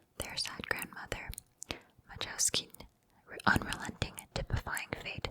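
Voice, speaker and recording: A woman whispers at a fairly slow pace. Noticeable background noise runs behind her. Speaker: ASMR creator. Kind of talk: reading an excerpt aloud. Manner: whispered.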